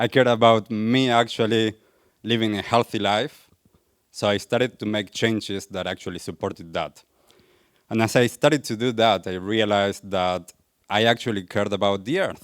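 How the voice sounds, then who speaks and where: A man's fairly low voice with an Argentine accent, fairly even intonation and a moderate pace, on a very clean recording with a silent background. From Argentina. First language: Spanish. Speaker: wellness coach, speaker. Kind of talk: public talk.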